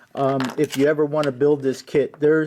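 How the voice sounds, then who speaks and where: A man's fairly high voice in a dark, mellow tone. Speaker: scale model builder. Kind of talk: hobby tutorial / build update. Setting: home basement workshop. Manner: halting, many fillers and repeats; casual, conversational.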